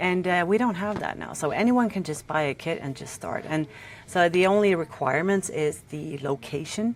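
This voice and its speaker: A woman with a Norwegian accent speaks at a moderate pace in a fairly low pitch, her intonation lively over noticeable background noise. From Norway. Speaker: tattoo artist. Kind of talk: casual chat. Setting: podcast interview. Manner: halting.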